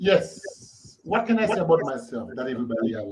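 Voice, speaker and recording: A man speaks with very wide pitch swings, keeping a moderate pace. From Haiti. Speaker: author and lyricist. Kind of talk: casual interview. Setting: live stream.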